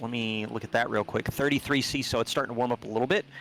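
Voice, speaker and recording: A man's very fast speech at a medium pitch, in a dry, close sound with no echo. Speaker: sim racing commentator. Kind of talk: live commentary. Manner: animated.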